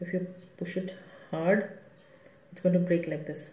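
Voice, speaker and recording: Someone soft-spoken talks at a fairly slow pace. There is noticeable background noise. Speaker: craft tutorial creator. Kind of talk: tutorial.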